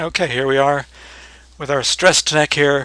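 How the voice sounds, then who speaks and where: This is a man speaking. His voice has a bright, sharp tone. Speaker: 3D animation tutorial maker. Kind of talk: tutorial. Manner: casual, with hesitations.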